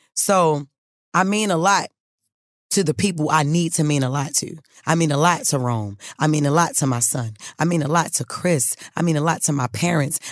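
Speaking at a moderate pace with long, frequent pauses, a woman uses a very deep, low pitch, ordinary pitch variation and an animated tone. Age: 30s. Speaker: podcast host. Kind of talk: casual monologue.

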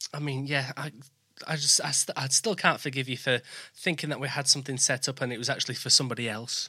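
A man of medium pitch speaks with a strong Yorkshire accent and fairly even intonation. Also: fairly quick pace. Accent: thick Yorkshire English. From born in West Bromwich near Birmingham, lives in East Yorkshire. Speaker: podcast host.

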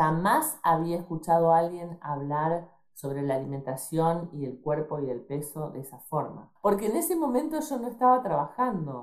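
This voice carries an Argentine accent with lively intonation. It moves at a moderate pace with hardly any pauses. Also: woman, fairly low pitch for a woman. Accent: Rioplatense Argentine Spanish. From Argentina, Rosario. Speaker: doctor. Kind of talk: interview.

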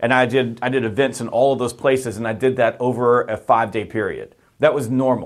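A man talks with a normal speaking voice at a medium pitch. His pace is fairly quick and his intonation fairly even. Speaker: sales author and trainer. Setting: video call.

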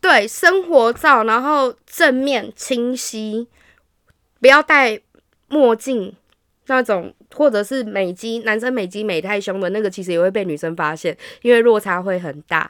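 With lively intonation and a fairly slow pace, a woman talks in an unremarkable speaking voice, recorded dry and close with no echo against a silent background on a very clean recording. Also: fairly high pitch for a woman. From Taiwan, Hsinchu. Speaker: podcast guest sharing dating-app experiences. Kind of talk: casual chat.

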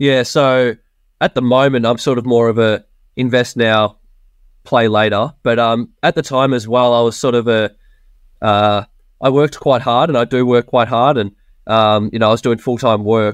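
Speaking at a moderate pace with an Australian accent, a man keeps a medium pitch, very even loudness and fairly even intonation. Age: 20s. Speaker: software developer, property investor. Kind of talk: casual interview chat.

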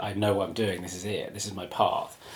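A somewhat breathy male voice. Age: 40s. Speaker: writer and publisher. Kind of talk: casual chat.

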